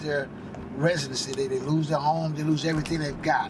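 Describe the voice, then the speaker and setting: With monotone, flat intonation, a man speaks while noticeable background noise carries on behind him. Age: 70s. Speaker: homeless shelter van driver. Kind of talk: interview.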